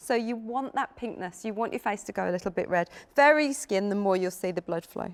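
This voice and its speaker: A woman with an unremarkable speaking voice talks at a medium pitch and a fairly quick pace, her intonation lively. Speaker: brand representative. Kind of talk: sales pitch.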